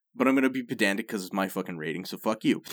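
An ordinary speaking voice from a man, fairly low in pitch, with lively intonation at a fairly quick pace. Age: 30s. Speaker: podcast co-host. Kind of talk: casual chat.

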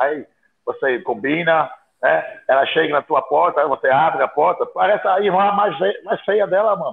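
A man at a moderate pace with very even loudness. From outside Brazil. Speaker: bodybuilding podcast co-host. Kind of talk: casual chat.

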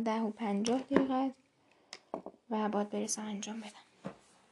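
A woman with a fairly high voice speaks at a moderate pace in a flat monotone, leaving long, frequent pauses. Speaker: podcaster. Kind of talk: casual voice diary.

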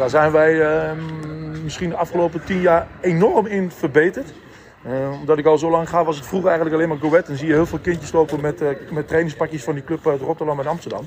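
With noticeable background noise, a man talks at a very fast pace with a fairly high pitch and fairly even intonation. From Deventer, eastern Netherlands. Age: 40s. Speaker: football supporter. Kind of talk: casual interview. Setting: walking under the stadium stand.

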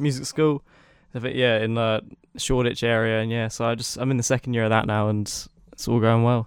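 A man speaks at a fairly quick pace with a British accent, his medium-pitched voice held in a monotone, flat intonation. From UK. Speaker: music producer and student. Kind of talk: casual interview. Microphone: new microphone bought for podcast.

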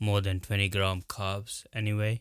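On a very clean recording with a silent background, a man with a non-native accent and fairly low pitch speaks at a fairly slow pace in a monotone, flat delivery. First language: not English. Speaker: health and fitness podcast host. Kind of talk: solo informational podcast talk. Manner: halting, with fillers and repetitions.

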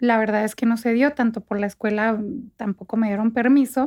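A woman at a moderate pace with fairly even intonation, in dry, close sound with no echo. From northern Mexico, Chihuahua state (Parral, Santa Bárbara). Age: 30s. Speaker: fashion stylist. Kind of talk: casual interview.

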